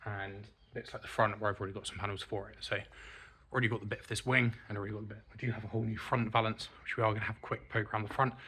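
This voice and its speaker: With an English accent, a man speaks very fast in a monotone, flat intonation, his tone bright and sharp. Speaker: car restorer and video host. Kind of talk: tutorial-style vlog walkthrough. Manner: casual.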